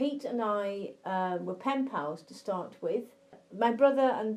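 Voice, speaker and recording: Someone with an English accent speaks at a fairly slow pace in a dark, mellow tone. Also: woman. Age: 50s. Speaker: blind interviewee. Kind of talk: interview.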